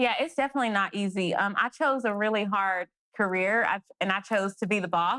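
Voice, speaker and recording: A woman with an American accent and a bright, sharp tone speaks at a fairly high pitch with ordinary pitch variation, in a dry, close sound with no echo on a very clean recording with a silent background. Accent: thick country. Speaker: independent filmmaker and actress. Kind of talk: interview. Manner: fast.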